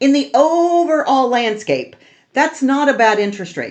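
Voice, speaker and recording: Speaking fairly slowly with an American accent, a woman uses lively intonation at a high pitch. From California. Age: 70s. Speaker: mortgage lender and real estate youtuber. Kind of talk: casual explainer monologue. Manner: animated.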